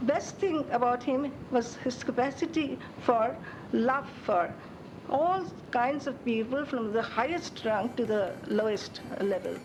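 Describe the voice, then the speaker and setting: Speaking at a very slow pace, a woman with a high voice and lively intonation is heard over noticeable background noise and audible room echo. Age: 70s. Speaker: former physics student. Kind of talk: interview.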